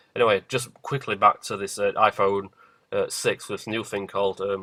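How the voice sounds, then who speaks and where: With a British accent, a man speaks in a dry, close sound with no echo. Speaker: conspiracy video maker. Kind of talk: casual vlog monologue. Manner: fast.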